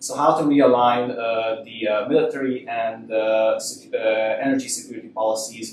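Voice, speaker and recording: A man with a Hungarian accent speaks at medium pitch with fairly even intonation. Audible room echo and noticeable background noise are present. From Hungary. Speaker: university lecturer. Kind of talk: lecture. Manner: halting. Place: hall. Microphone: podium.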